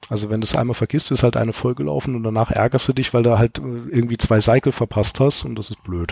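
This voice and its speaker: Hardly pausing, the speaker rattles along at a very fast pace with ordinary pitch variation, in a dry, close sound with no echo. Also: man, medium pitch for a man. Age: 30s. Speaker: software entrepreneur and experienced gamer. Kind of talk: casual chat. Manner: explanatory.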